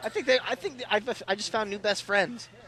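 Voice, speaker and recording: Very fast and in a raised, projected voice, a man talks with a high pitch, a bright, sharp tone and lively intonation. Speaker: wrestler and guest commentator. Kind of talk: live commentary. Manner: excitable.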